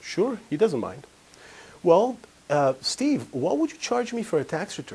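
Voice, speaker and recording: A man with an Israeli accent speaks at a high pitch for a man, with very wide pitch swings. He leaves long, frequent pauses. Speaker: financial advisor / seminar speaker. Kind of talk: live seminar talk with anecdote.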